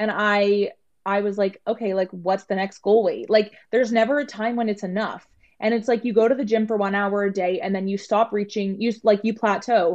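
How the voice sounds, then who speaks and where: With a Canadian accent, a woman talks in a plain, everyday voice at a moderate pace, medium pitch and fairly even intonation. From Toronto, Canada. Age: 20s. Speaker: body positivity influencer. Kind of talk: casual interview.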